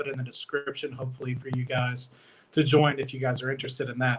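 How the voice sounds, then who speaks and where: A man at medium pitch with an American accent, very fast pace, and monotone, flat intonation. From Michigan, US. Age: 20s. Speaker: investing YouTuber, petroleum engineer. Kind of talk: casual livestream talk. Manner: many fillers (uh, um).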